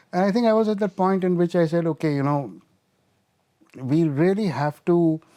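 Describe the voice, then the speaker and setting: With a quiet background, a man with a high voice speaks at a moderate pace at very even loudness, leaving long, frequent pauses. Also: ordinary pitch variation. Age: 60s. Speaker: addiction specialist and medical doctor. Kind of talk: podcast interview. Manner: halting.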